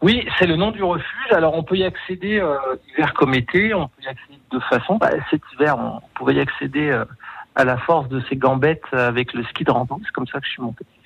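A man with a fairly high voice talks at a fairly quick pace with lively intonation. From Savoie, France (Aix-les-Bains). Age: 40s. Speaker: tourism marketing executive. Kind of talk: radio interview. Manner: hesitant, many fillers.

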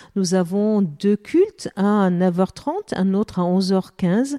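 A woman with a dark, mellow tone speaks at a medium pitch with ordinary pitch variation, in a dry, close sound with no echo on a very clean recording with a silent background. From Lebanon. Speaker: pastor. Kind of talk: radio interview.

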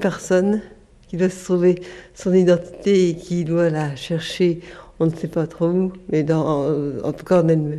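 Her intonation fairly even, a woman with a fairly low pitch talks at a moderate speed. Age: 50s. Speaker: Parkinson's patient. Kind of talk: testimony.

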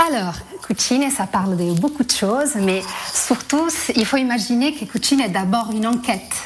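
With an Italian accent, a woman speaks in a fairly high pitch. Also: moderate pace. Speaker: theatre director. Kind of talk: radio interview.

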